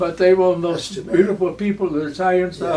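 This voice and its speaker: Over noticeable background noise, a man with an American accent talks very fast at a high pitch. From Oklahoma. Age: 90s. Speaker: war veteran. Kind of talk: interview answer. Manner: halting, repetitive.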